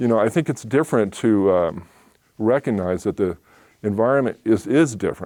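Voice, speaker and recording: A man with a West Coast accent, fairly low in pitch, dark and mellow in tone, at very even loudness. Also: moderate pace. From Oakland, California. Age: 60s. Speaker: small business owner. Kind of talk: talk Q&A.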